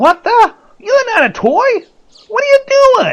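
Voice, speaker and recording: This put-on character voice is squeaky and extremely high-pitched. It moves at a fairly slow pace. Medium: audio drama. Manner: sly, smug.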